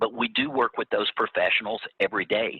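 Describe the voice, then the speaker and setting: In a Louisiana accent, a man speaks at a moderate pace. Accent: Louisiana Southern US. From Louisiana (Baton Rouge). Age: 60s. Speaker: agribusiness executive, former youth organization state officer. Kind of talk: interview. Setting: video call.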